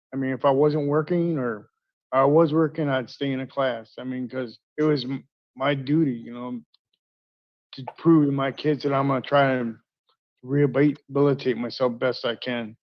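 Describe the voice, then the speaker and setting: A moderate pace and fairly even intonation. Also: man, medium pitch for a man. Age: 60s. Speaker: inmate seeking parole. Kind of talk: hearing testimony. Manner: halting.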